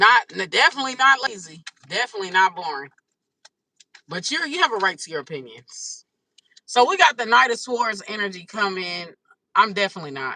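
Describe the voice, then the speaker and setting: The speech moves at a fairly quick pace, broken by long, frequent pauses, with very wide pitch swings and big swings in loudness. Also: woman, medium pitch for a woman. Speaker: tarot reader. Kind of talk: live stream tarot reading. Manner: animated.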